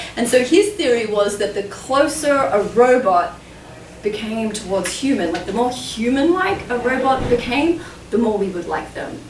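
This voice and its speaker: Her voice is high-pitched, with very wide pitch swings at a moderate pace. Audible room echo and noticeable background noise surround the woman. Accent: Australian. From Australia. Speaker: author and ape researcher. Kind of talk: public talk and Q&A.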